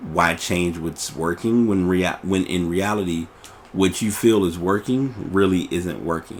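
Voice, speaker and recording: A man's very deep, low voice at a fairly slow pace, fairly even in intonation, over noticeable background noise. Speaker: podcast host. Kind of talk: casual monologue. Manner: relaxed, nonchalant; halting, with fillers.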